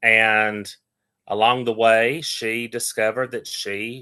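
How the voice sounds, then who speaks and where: A man with a strong Appalachian accent speaks very slowly at a medium pitch, his tone bright and sharp and his intonation fairly even. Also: quiet background. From Appalachia, Western North Carolina. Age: 30s. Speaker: interfaith minister and Reiki healer. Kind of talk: casual interview.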